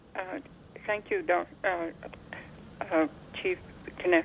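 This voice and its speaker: Long, frequent pauses break up a woman's fairly slow speech at a medium pitch, with ordinary pitch variation, big swings in loudness, and noticeable background noise. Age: 70s. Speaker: caller. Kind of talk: call-in question.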